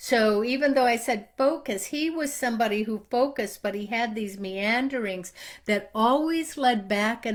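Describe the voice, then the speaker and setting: Ordinary pitch variation colors a woman's speech as she talks at a medium speed. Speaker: marketing trainer. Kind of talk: online training talk. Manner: steady pace.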